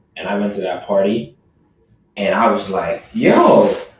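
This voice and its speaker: Audible room echo surrounds a man's voice. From Barbados. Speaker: podcast guest. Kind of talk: casual chat.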